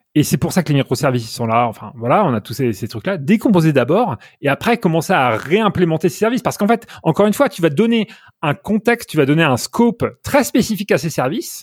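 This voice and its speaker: A man speaks high and at a fairly quick pace, with very wide pitch swings. The recording is very clean and dry, with a silent background and a close sound with no echo. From France, Normandy. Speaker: software engineer. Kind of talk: interview. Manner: halting, many repetitions.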